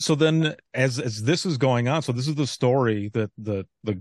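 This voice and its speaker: In a normal speaking voice, a man of medium pitch talks at a moderate pace with ordinary pitch variation, the sound dry and close with no echo and the background quiet. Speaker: former 911 dispatcher and author. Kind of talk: casual interview.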